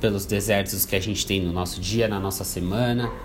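Fairly low male speech at a moderate pace with fairly even intonation, audible room echo and music in the background. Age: 20s. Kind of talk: motivational talk. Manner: halting, repetitive fillers.

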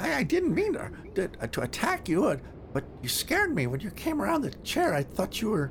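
Someone does a put-on character voice at a fairly high pitch and a moderate pace, with clear background noise. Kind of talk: comic creature voice. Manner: defensive, whiny, pleading.

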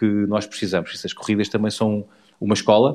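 Here a man speaks at a fairly quick pace. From Portugal, near Portalegre. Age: 40s. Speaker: motorcycle rally rider. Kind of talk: casual interview. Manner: halting, repeats words.

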